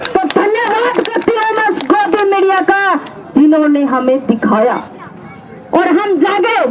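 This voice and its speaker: The speaker has lively intonation. There is noticeable background noise. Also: woman, extremely high pitch for a woman. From Haryana. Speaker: farmer protest speaker. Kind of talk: protest rally speech. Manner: impassioned.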